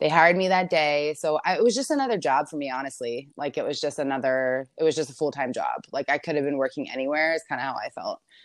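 Speaking at a very fast pace with hardly any pauses, a woman with a very deep, low pitch and an American accent uses ordinary pitch variation over a quiet background. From Maryland, US. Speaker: hair colorist. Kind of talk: interview. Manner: casual, filler-heavy.

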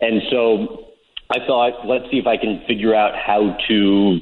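With noticeable background noise behind him, a man with an American accent speaks at a fairly low pitch with fairly even intonation. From St. Louis, US Midwest. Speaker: sports interviewer. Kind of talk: casual interview.

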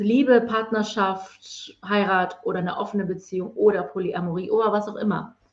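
A woman's medium-pitched, somewhat breathy voice at a moderate pace, with ordinary pitch variation. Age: 40s. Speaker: spiritual mentor. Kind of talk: interview. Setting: online livestream.

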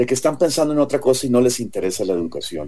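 Lively intonation shapes a dark, mellow tone. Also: man. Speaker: presidential candidate. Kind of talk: political debate.

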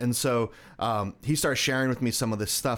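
A man's plain, everyday voice, medium in pitch and moderate in pace, in a very clean recording with a silent background. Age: 30s. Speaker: cancer survivor and speaker. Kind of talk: interview.

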